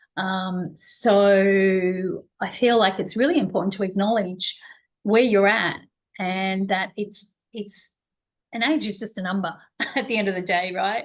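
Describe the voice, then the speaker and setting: A woman's plain, everyday voice at a medium pitch and fairly slow pace, with ordinary pitch variation and a quiet background. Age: 60s. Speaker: wellness show host. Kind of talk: interview conversation.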